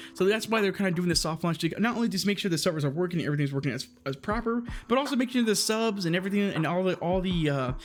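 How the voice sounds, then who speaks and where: Over music in the background, a man talks at a very fast pace in a high pitch, with an excited tone and lively intonation. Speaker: gaming streamer. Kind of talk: casual video commentary. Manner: stuttering, excited.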